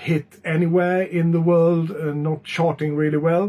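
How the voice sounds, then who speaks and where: This man has a non-native accent and a high pitch. He talks at a fairly slow pace. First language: not English. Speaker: music reviewer. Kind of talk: album review vlog. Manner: hesitant, many filler sounds.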